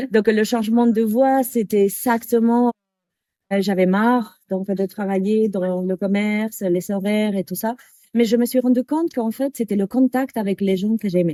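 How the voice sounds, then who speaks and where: Speaking at a fairly slow pace in a Spanish accent, a woman has a dark, mellow tone and fairly even intonation. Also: fairly high pitch for a woman, dry, close sound with no echo. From Canary Islands, Spain (Tenerife). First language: Spanish (speaking French). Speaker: yoga teacher. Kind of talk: interview. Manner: halting.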